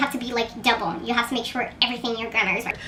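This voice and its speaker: A woman's raised, projected voice over noticeable background noise. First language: Portuguese. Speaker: writer and contest mentor. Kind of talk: casual vlog monologue.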